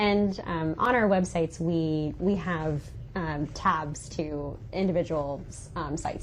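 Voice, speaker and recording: With an American accent, a woman speaks at a fairly low pitch with ordinary pitch variation. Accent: Southern, stronger in some places. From South Carolina Lowcountry, Bluffton. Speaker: magazine representative. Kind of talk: podcast interview. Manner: casual, many fillers.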